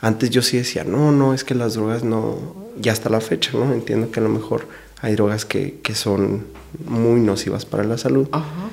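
A man speaks at a moderate pace and medium pitch. His pitch varies in an ordinary way. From Mexico, Delicias, Chihuahua. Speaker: lawyer. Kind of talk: casual interview. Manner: hesitant, many fillers.

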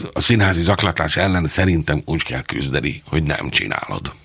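With noticeable background noise behind him, a man speaks in a very deep, low pitch at a moderate pace, using ordinary pitch variation. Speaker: theatre director and playwright. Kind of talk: interview conversation.

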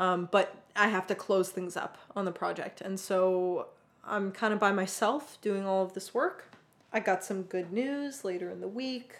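A woman at a medium pitch uses a normal speaking voice with ordinary pitch variation. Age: 20s. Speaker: podcast co-host, software engineer. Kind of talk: casual chat.

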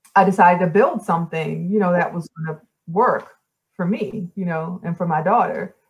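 A woman talks in a somewhat breathy voice at a fairly low pitch. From New Orleans, Louisiana. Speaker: former 3D modeler and community developer. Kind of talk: interview, casual chat. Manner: hesitant, many fillers.

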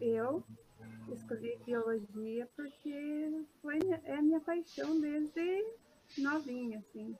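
A woman speaks at a very slow pace. Her voice is high in pitch. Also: ordinary pitch variation. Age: 20s. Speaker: first-year university student. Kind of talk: casual interview.

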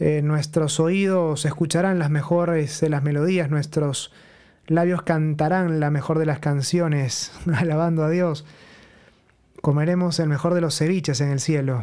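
Using an ordinary speaking voice, a man talks at a fairly slow pace and fairly high pitch with very even loudness and fairly even intonation. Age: 30s. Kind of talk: religious teaching talk. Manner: conversational.

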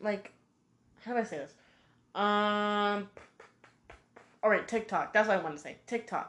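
A woman with a medium pitch talks in an animated tone at a moderate pace, her loudness swinging widely, her pitch varying in an ordinary way, and long pauses coming often. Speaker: podcaster. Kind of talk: casual monologue.

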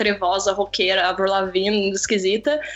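Medium-pitched woman's voice at a moderate pace, with noticeable background noise. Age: 20s. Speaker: photographer and video creator. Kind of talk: casual chat. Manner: animated.

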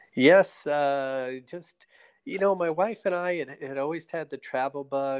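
With a plain, everyday voice and an American accent, a man speaks at a fairly slow pace with ordinary pitch variation, recorded dry and close with no echo against a quiet background. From New Jersey. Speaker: retired fighter pilot, ophthalmologist and state politician. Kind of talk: casual interview.

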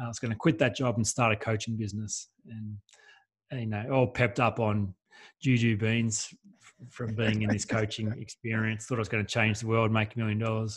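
Speaking with an Australian accent, a man with a medium pitch and a somewhat breathy voice talks at a fairly quick pace in a flat monotone, on a very clean recording with a silent background. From Australia, rural New South Wales. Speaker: life coach. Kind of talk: interview.

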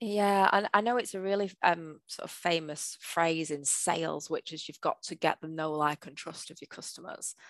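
With a northern English accent, a woman speaks at a moderate pace with hardly any pauses, a fairly low pitch, ordinary pitch variation and big swings in loudness, the sound dry and close with no echo over a quiet background. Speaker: change manager / project manager. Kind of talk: casual interview.

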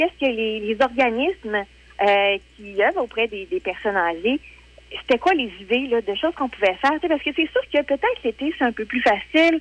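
The voice moves through very wide pitch swings at a fairly quick pace. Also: woman, high pitch for a woman. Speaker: weekly columnist. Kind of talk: radio column chat. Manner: hesitant, many fillers.

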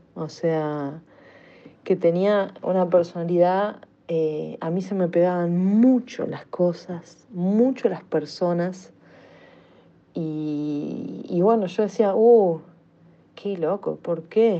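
Dark and mellow in tone, a woman speaks at a very slow pace with a fairly low pitch, ordinary pitch variation, and long, frequent pauses. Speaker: listener sending voice message. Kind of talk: voice message.

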